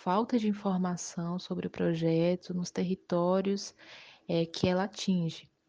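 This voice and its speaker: Against a quiet background, a woman with a dark, mellow tone and medium pitch speaks in a monotone, flat way at a very slow pace. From Bahia, Brazil (Utinga). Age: 20s. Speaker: lawyer. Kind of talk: interview.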